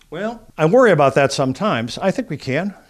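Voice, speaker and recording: The speaker is a man. Across his speech, the pitch moves through very wide swings. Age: 70s. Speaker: family policy advocate. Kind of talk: interview. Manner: halting.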